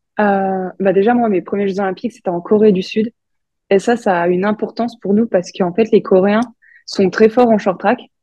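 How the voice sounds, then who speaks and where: Monotone, flat intonation from a woman whose voice sits at a medium pitch. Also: moderate pace. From France, Franche-Comté. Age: 20s. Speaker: Olympic short track speed skater. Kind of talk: interview.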